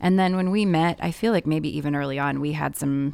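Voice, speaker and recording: A woman with an American accent speaks at a very deep, low pitch with ordinary variation. The recording is very clean, and the background is silent. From Indianapolis, Indiana. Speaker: adoptive mother, holds a doctorate. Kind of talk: casual interview.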